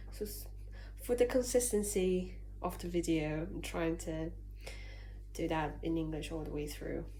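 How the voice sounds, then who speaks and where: A woman speaks with a Chinese accent, leaving long, frequent pauses. Audible room echo and noticeable background noise are present. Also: moderate pace. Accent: Mandarin Chinese accent in English. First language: Mandarin. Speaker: vlogger. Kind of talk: casual vlog talk to camera.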